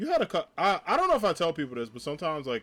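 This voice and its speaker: A loud man talks at a fairly quick pace with an American accent. His pitch swings very widely. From New Jersey (North Jersey). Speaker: streamer and teacher. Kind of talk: live stream chat. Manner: casual.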